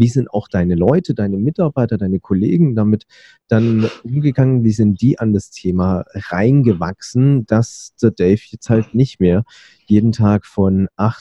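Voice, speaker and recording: A man talks at a fairly slow pace in a fairly low voice with ordinary pitch variation. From Berlin, Germany. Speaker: podcast host. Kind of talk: interview; scripted narration. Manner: hesitant with fillers.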